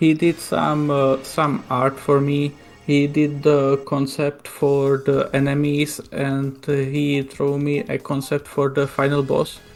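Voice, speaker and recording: A very slow pace with hardly any pauses, in a Slovak accent, over music in the background. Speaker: homebrew game developer. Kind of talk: casual chat. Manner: halting.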